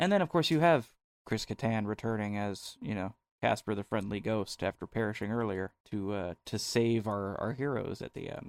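This man has an ordinary speaking voice, with an American accent, medium pitch and a fairly quick pace, recorded with a dry, close sound and no echo. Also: very clean recording, silent background. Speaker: podcast co-host. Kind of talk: casual chat.

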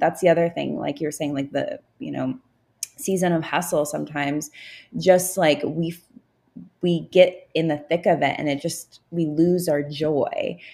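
A woman's very deep, low voice with a dark, mellow tone and vocal fry, fairly even intonation and a moderate pace. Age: 30s. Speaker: business coach and consultant. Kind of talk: casual chat.

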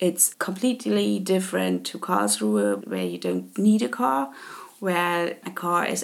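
A woman speaks fairly slowly, and her pitch rises and falls very widely. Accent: German. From Germany, Leipzig (Saxony). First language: German. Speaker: podcast host. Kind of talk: casual monologue. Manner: hesitant with filler words.

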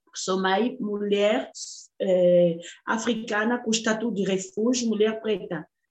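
A woman speaks at a fairly slow pace in a fairly high pitch. Hers is a normal speaking voice with ordinary pitch variation. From Democratic Republic of the Congo. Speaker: artist and human rights activist. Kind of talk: interview.

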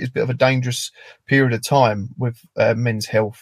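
A man with a British accent speaks fairly quickly in a somewhat breathy voice, keeping his intonation fairly even. The sound is dry and close, with no echo. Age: 30s. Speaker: construction worker and charity founder. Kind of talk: interview.

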